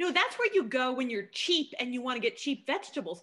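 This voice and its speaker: In a Northeastern American accent, a woman raises and projects her high, bright, sharp voice, her pitch swinging very widely against a quiet background. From New Jersey. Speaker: podcast host. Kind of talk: casual chat. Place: home room. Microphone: video call.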